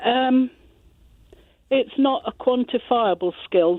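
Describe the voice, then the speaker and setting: A woman in a British accent speaks with ordinary pitch variation. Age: 60s. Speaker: care home nurse. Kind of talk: radio phone-in.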